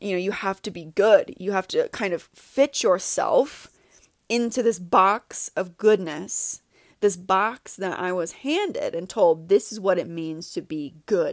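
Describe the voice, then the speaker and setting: With a plain, everyday voice, an American woman speaks at a fairly slow pace and medium pitch with ordinary pitch variation and big swings in loudness, in a dry, close sound with no echo on a very clean recording with a silent background. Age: 30s. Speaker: podcast host, healing coach. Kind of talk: solo monologue, personal reflection.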